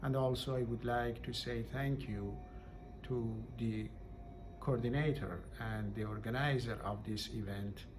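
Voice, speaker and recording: Speaking with a Persian accent at a fairly slow pace, a man leaves long, frequent pauses amid noticeable background noise and audible room echo. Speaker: poet. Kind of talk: poetry reading event remarks.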